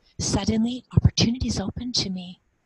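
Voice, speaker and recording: Heard dry and close with no echo, a woman with a normal speaking voice talks at a moderate pace with ordinary pitch variation. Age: 50s. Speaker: cross-cultural mentor and former missionary. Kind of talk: personal testimony in an interview.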